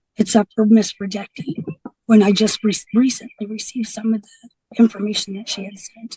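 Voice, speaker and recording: Somewhat breathy and dark, mellow in tone, a woman's fairly high voice runs in a monotone, flat intonation. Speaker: defendant in court hearing. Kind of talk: court testimony. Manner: halting.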